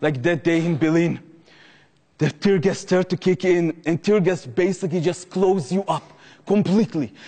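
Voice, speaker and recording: A man with an Israeli accent talks at a fairly quick pace and a fairly high pitch, with fairly even intonation. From Jerusalem, Israel. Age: 20s. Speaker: former Israeli combat soldier, activist. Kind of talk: public talk to an audience.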